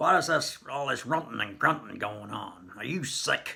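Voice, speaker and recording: Using a put-on character voice, a man speaks gruff and raspy at a fairly high pitch and a moderate pace, in a stern tone. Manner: stern, brusque.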